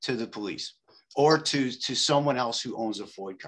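A man with a Chicago accent at a medium pitch, with ordinary pitch variation, a moderate pace and a quiet background. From Chicago, Back of the Yards. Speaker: meeting attendee. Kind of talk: debate. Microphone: video call.

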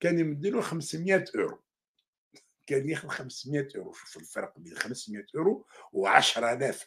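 Against a quiet background, a man with an Algerian accent speaks with lively intonation and big swings in loudness. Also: moderate pace. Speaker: journalist and commentator; journalist, commentator. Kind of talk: news commentary monologue. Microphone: webcam.

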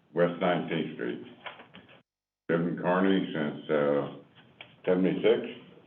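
A man with a very deep, low pitch speaks at a fairly slow pace with ordinary pitch variation, and audible room echo surrounds him. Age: 70s. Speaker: resident addressing city council. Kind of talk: public comment. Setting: city council meeting.

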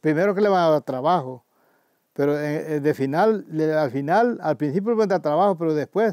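A man's voice, dry with no echo, in a quiet background. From El Salvador, Chalatenango; El Salvador. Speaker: community elder and former farmer. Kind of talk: oral history interview. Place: garden.

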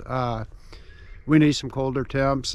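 A man at a fairly slow pace with fairly even intonation, in a dry sound with no echo. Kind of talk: casual vlog chat. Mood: calm, slightly disappointed. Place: open country. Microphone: phone near.

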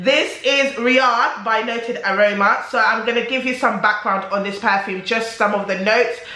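A woman speaks with noticeable background noise around her. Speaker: beauty and perfume YouTuber. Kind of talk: casual talk to camera, beauty review.

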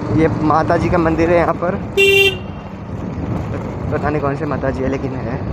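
A man speaks at a fairly high pitch with ordinary pitch variation over clear background noise.

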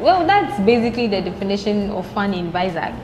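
A woman speaks with ordinary pitch variation. Noticeable background noise runs beneath her. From Ghana. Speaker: law student; podcast guest. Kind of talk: casual chat. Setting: studio. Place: cafe.

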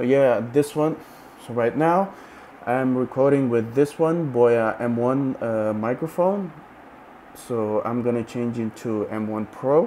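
Over light background noise, a man speaks at a very slow pace with ordinary pitch variation. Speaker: tech reviewer. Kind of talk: tutorial. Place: home room. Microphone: lapel.

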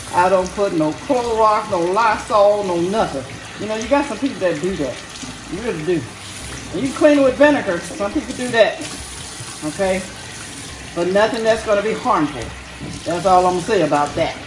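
The speaker moves at a fairly quick pace. Noticeable background noise runs underneath. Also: woman. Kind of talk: casual cooking tutorial chat. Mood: playful, sassy. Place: kitchen. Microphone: phone near.

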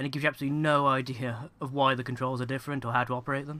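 A man speaks at a very fast pace with a British accent. His pitch is medium. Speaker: gaming commentator. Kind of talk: let's play commentary. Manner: casual.

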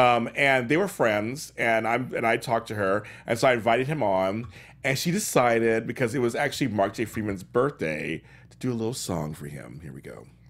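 Animated in tone, a man with a medium-pitched voice and vocal fry talks at a fairly quick pace with lively intonation and big swings in loudness. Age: 40s. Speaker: talk show host. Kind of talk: casual chat. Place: studio.

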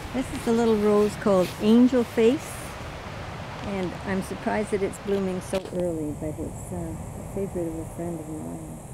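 A woman speaks at a moderate pace with fairly even intonation. Clear background noise is audible. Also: medium pitch for a woman.

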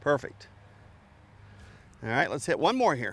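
Using a fairly bright tone with vocal fry, a man talks at medium pitch and a fairly slow pace with big pitch swings.

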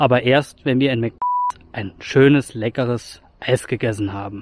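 A man at a moderate pace, the sound dry with no echo. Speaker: hiking vlogger. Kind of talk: casual vlog chat. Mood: cheerful, relaxed. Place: forest. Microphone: phone near.

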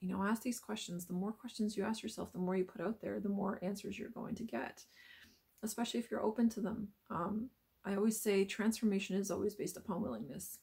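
A woman speaks at a medium pitch with fairly even intonation and some vocal fry. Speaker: spiritual healer / self-help vlogger. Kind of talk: motivational monologue. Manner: hesitant with fillers.

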